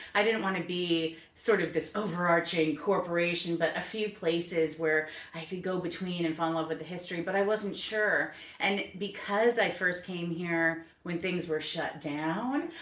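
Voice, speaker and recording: A woman speaks at a moderate pace with fairly low pitch and fairly even intonation. Noticeable background noise and audible room echo are present. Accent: American. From New England, Connecticut. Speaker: small business owner, tour guide. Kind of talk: podcast interview.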